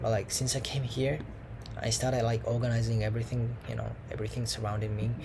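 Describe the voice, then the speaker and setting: A man's monotone, flat delivery at medium pitch and a fairly quick pace, with audible room echo. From Japan. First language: Japanese. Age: 20s. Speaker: language student vlogger. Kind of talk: casual monologue vlog. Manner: halting, many fillers. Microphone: laptop mic.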